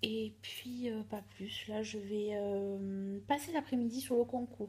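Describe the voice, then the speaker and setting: A soft-spoken woman's somewhat breathy voice, dark and mellow in tone, fairly high in pitch, with fairly even intonation. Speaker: vlogger. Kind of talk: casual vlog.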